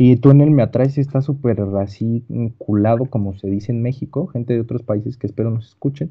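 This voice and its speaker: Fairly quick, somewhat breathy speech from a man, pitch varying in an ordinary way. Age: young. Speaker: podcast co-host. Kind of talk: casual chat.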